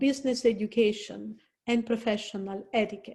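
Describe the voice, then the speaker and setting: A woman with an Italian accent talks at a moderate pace and a fairly high pitch. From Italy. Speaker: career counselor. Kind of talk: presentation. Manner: conversational, with fillers.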